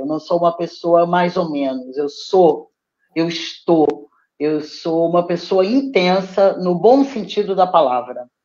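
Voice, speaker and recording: A woman with a Brazilian accent speaks at a very slow pace in a fairly low pitch with lively intonation. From Brazil (Petrópolis). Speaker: poet and theatre teacher. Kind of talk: interview. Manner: animated.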